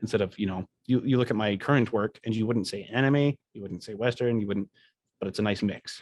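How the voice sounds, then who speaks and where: In a Canadian accent and a normal speaking voice, a man talks fairly quickly at a fairly low pitch with fairly even intonation, the sound dry and close with no echo. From Canada. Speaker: animation student and podcast co-host. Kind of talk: casual chat.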